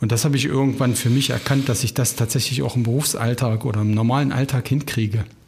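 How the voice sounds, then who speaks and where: Noticeable background noise sits under a man talking very fast. His pitch is medium and his intonation fairly even. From Harz region, Germany (Ilsenburg). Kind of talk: casual conversation.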